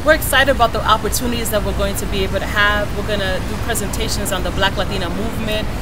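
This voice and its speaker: Delivered at a very fast pace with hardly any pauses, the speech carries audible room echo and noticeable background noise. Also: woman. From Dominican Republic, raised in New York City and New England. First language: Spanish. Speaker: social worker and co-founder of an advocacy movement. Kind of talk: interview monologue.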